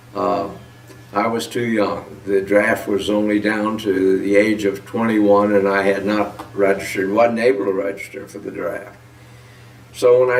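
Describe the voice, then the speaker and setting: A man's fairly slow, monotone, flat delivery with audible room echo. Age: 90s. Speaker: war veteran. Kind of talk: testimony. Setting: at home, on camera. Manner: halting. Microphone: poor audio quality.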